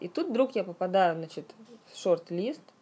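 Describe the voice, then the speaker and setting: A woman speaks with a dark, mellow tone. Her intonation is lively and her pace moderate. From Russia, Yaroslavl. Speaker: fantasy writer. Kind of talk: interview. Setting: studio.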